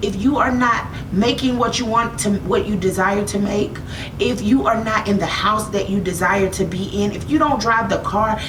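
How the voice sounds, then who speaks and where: Over noticeable background noise and audible room echo, a woman with an American accent talks at a moderate pace and medium pitch, with ordinary pitch variation and an animated tone. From United States. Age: 30s. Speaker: makeup artist and motivational vlogger. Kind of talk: motivational talk.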